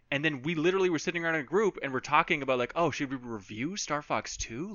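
Lively in intonation, a man with an American accent talks very fast at a fairly high pitch. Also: hardly any pauses. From Minnesota. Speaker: games journalist and video producer. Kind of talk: podcast interview.

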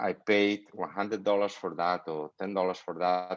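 A man talks with a Spanish accent. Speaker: grooming products company owner. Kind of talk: interview. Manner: halting, frequent word repetition.

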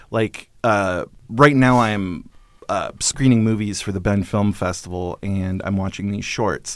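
An unremarkable speaking voice belongs to a man with an American accent and a fairly low pitch. His intonation stays fairly even. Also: fairly slow pace. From Northern California and Alaska. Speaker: film columnist and programmer. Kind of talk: casual interview.

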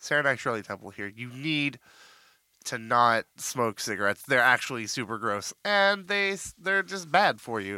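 On a very clean recording with a silent background, a man speaks at medium pitch and moderate pace, his tone bright, sharp and playful. His pitch swings very widely, and the sound is dry and close with no echo. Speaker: podcast co-host. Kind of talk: casual banter podcast chat. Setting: studio. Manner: joking, playful.

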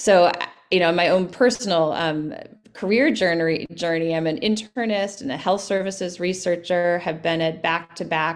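An unremarkable speaking voice from a woman, fairly low pitch, ordinary pitch variation, moderate pace. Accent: American. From US Midwest, Winona, Minnesota. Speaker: physician and healthcare company CEO. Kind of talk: interview.

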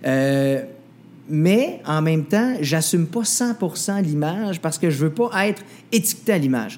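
A man with a high pitch speaks at a fairly slow pace and very even loudness. His intonation is lively. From Quebec, Mauricie village. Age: 20s. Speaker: singer and TV/radio host. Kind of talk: interview. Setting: restaurant.

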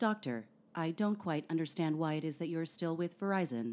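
A robotic put-on character voice, middle in pitch and fairly quick.

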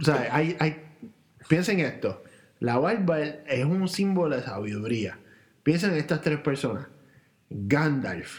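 A man talks at a very slow pace in a fairly high voice, with lively intonation. Long pauses come often. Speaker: podcast co-host. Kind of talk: casual chat. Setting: home recording, same room.

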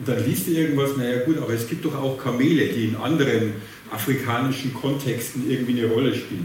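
A man with a strong Bavarian accent speaks at a fairly quick pace, with noticeable background noise and audible room echo. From Bavaria, rural. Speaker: moderator and social researcher. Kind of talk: panel discussion. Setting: theatre stage with audience.

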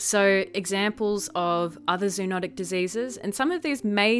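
With an Australian accent, a woman speaks at medium pitch with lively intonation. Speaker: science podcast host. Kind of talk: solo educational podcast. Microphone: new professional podcasting mic.

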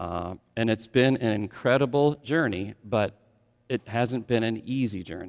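Here is an unremarkable speaking voice. A man with an American accent talks at a medium pitch and fairly slow pace. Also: ordinary pitch variation. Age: 50s. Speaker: pastor. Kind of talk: sermon. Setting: church.

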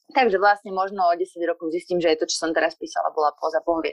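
A woman at a very fast pace. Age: 30s. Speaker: poet. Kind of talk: casual chat.

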